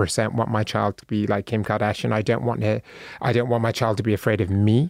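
A very fast man's voice at medium pitch with a British accent. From Bristol, England. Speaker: author and speaker. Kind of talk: casual interview chat.

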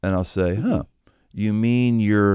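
Here a man has an unremarkable speaking voice with ordinary pitch variation. He speaks at a fairly slow pace. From Pittsburgh, US. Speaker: pastor and author. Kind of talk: casual interview conversation.

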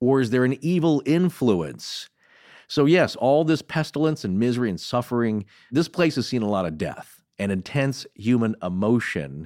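With an American accent, a man speaks at a moderate pace and a medium pitch, his pitch swinging very widely. The recording is very clean, the background silent. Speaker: podcast co-host. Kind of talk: casual chat.

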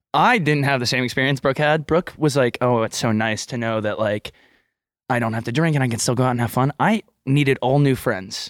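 A man with an American accent and an unremarkable speaking voice talks fairly quickly at medium pitch. The sound is dry and close with no echo, and his pitch varies in an ordinary way. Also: very clean recording, silent background. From Texas. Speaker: podcast co-host. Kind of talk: casual chat.

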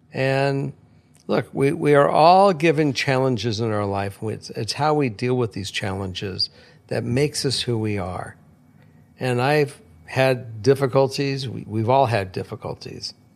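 Medium pitch for a man, an unremarkable speaking voice, ordinary pitch variation and a fairly slow pace, in a very clean recording against a silent background. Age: 60s. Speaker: host's father, returning guest. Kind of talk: casual chat.

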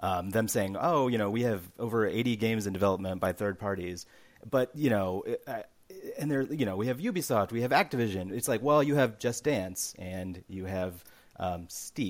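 A man speaks in a plain, everyday voice at a fairly low pitch. His pace is moderate, with ordinary pitch variation. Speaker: games journalist. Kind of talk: casual chat.

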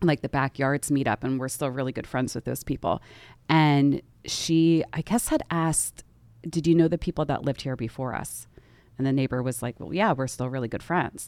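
A woman's very deep, low voice with an American accent and ordinary pitch variation, in a very clean recording with a silent background and a dry, close sound without echo. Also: moderate pace. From US Northeast, Philadelphia area. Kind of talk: casual chat.

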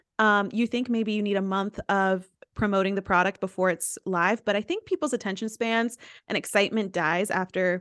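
A woman speaks in a normal speaking voice at medium pitch and moderate pace, with fairly even intonation. The sound is dry and close with no echo, against a quiet background. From US South, East Tennessee. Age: 20s. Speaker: influencer and entrepreneur. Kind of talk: casual interview chat.

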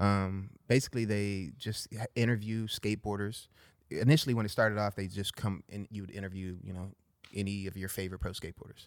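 In a Southern California accent, a man talks at a fairly quick pace with fairly low pitch and fairly even intonation. The recording is very clean, with a silent background. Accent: Southern Californian English. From Los Angeles, San Fernando Valley. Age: 40s. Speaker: pro skateboarder. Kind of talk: casual chat. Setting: studio.

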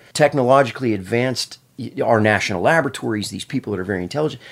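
This man has an ordinary speaking voice, medium in pitch, with lively intonation. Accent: American. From Pennsylvania. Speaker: brain researcher. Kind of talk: casual chat.

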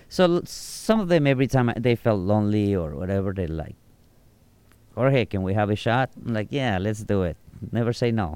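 A man with a Mexican accent, lively intonation and a moderate pace. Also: fairly low pitch for a man. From Mexico, Nayarit. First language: Spanish. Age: 40s. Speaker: bartender and tour guide. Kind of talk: casual interview. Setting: outdoors on a rooftop.

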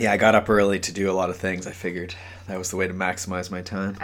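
In a raspy, very deep put-on character voice, a man rattles along at a very fast pace in a flat monotone. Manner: energetic, less monotone.

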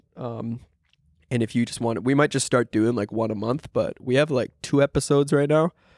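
Here is an unremarkable speaking voice with a Canadian accent. The pace is fairly quick. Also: man, medium pitch for a man, ordinary pitch variation, dry, close sound with no echo. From Ontario, Canada (Shelburne). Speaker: YouTube prank creator and entrepreneur. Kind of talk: casual podcast chat.

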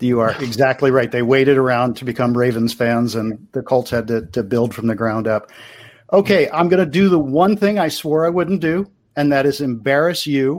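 Recorded very cleanly with a silent background, a man in a Baltimore accent talks at a moderate pace with lively intonation. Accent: Baltimore American. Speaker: podcast co-host. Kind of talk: casual chat.

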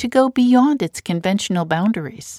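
Here is a woman with a normal speaking voice and lively intonation. She keeps a moderate pace, and the sound is dry and close with no echo. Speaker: radio host. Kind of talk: interview.

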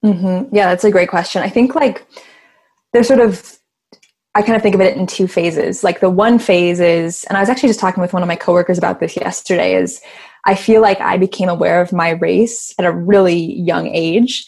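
A woman with an unremarkable speaking voice and an American accent speaks fairly quickly at a medium pitch with ordinary pitch variation. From Chicago, US Midwest. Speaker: activist. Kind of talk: casual chat.

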